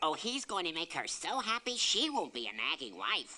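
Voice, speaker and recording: Pitched in the middle range, a cartoonish character voice moves along at a moderate pace. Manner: meek, grumbling.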